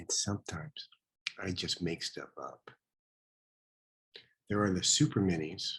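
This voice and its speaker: Soft-spoken, a man talks at a fairly slow pace with long, frequent pauses. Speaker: painter and art teacher. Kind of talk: casual self-introduction.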